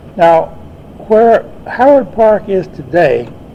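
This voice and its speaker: A man's voice with noticeable background noise. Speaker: botanist and retired university professor. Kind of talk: oral history recollection. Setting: speaking before a club audience, archival recording.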